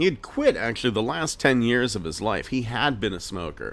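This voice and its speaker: A man speaks with an American accent at medium pitch. His voice has vocal fry. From Pennsylvania, US. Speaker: podcast host. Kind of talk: personal storytelling.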